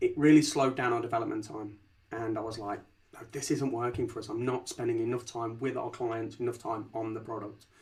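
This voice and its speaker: The speaker talks at a fairly quick pace in a Leicester accent. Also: man. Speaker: company founder and CEO. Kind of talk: podcast interview. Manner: repeats words, stammering starts.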